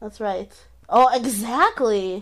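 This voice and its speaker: In a normal speaking voice, a woman talks at a fairly slow pace and fairly high pitch on a very clean recording with a silent background. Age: 20s. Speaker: comedian and podcast co-host. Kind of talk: casual chat.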